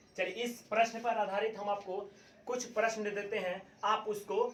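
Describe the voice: A man's high, fairly bright voice at a moderate pace, with audible room echo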